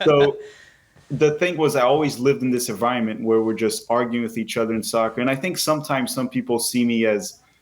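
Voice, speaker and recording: A man with a Portuguese accent talks at a very fast pace, with medium pitch and ordinary pitch variation. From Brazil. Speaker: soccer YouTuber. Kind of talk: podcast interview.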